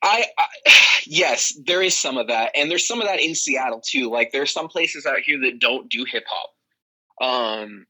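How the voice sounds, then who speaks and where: A man with an American accent speaks at a fairly high pitch with very wide pitch swings. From Phoenix, Arizona. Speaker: hip hop musician. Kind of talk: interview. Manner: fast.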